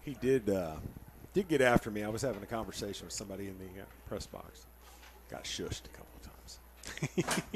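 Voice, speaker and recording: Lively intonation marks this man's fairly quick delivery at a fairly low pitch. His loudness swings widely. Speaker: play-by-play announcer. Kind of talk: live commentary. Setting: press box.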